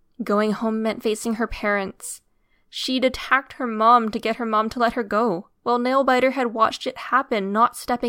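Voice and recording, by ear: Intonation stays fairly even while the speaker is reading aloud in a natural voice.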